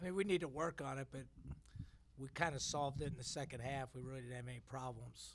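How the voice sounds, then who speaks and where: This man speaks at a very fast pace. His voice is somewhat breathy and medium in pitch. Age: 60s. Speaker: basketball head coach. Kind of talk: press conference.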